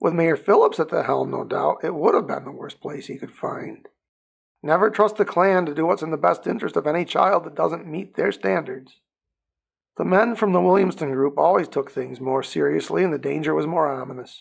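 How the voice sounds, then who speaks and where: A man's raspy, put-on character voice, fairly high-pitched and fairly quick. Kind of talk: audiobook narration. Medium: read story.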